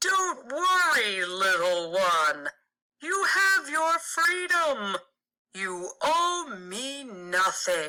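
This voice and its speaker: This put-on character voice is high-pitched with very wide pitch swings. The pace is very slow. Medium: read story.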